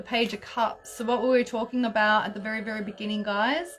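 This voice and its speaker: A woman with an Australian accent, fairly high in pitch, fairly quick and fairly even in intonation. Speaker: astrologer and tarot reader. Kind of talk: live stream tarot channelling and guided breathing. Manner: high energy.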